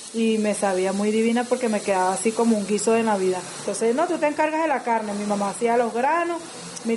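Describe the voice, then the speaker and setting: A woman talks at a fairly quick pace in a fairly high pitch, with noticeable background noise behind her. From Venezuela, Caracas. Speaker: Venezuelan migrant home cook. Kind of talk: casual cooking chat and personal testimony.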